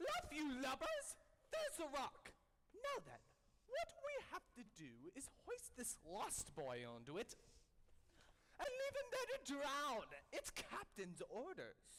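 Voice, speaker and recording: A put-on character voice with an extremely high pitch, a fairly slow pace and long, frequent pauses. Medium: stage play. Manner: gruff.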